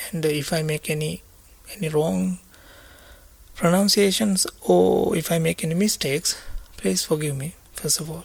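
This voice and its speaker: A man with a Sri Lankan accent speaks at a moderate pace, pitched fairly high for a man. His intonation is lively, broken by long, frequent pauses. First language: Sinhala. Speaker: Buddhist monk teacher. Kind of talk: dharma talk. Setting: meditation retreat. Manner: halting.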